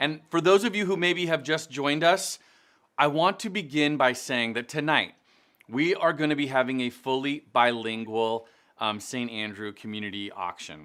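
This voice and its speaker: Recorded very cleanly against a silent background, a man speaks with a bright, sharp tone, fairly high pitch and lively intonation. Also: moderate pace. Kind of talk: charity auction hosting, welcome to live stream gala. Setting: live stream event.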